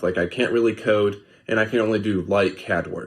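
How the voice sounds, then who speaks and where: On a very clean recording with a silent background, a man with an American accent speaks at a moderate pace and a fairly low pitch. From Alabama, US South. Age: 20s. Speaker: listener sending a voice message. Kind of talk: recorded voice message.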